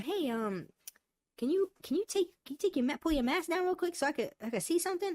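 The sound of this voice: A cartoonish character voice, squeaky and high-pitched, at a very fast pace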